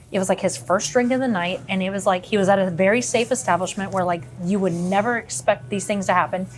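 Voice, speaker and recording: A woman at medium pitch, very fast with hardly any pauses and lively intonation, music in the background. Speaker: local content creator. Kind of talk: casual chat. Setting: bar. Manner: loud.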